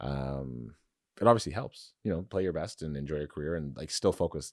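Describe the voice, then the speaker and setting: A man with a very deep, low voice and a Canadian accent speaks at a moderate pace with lively intonation, on a very clean recording with a silent background. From Canada (London, Ontario). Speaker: pro football player and tech founder. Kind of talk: casual interview.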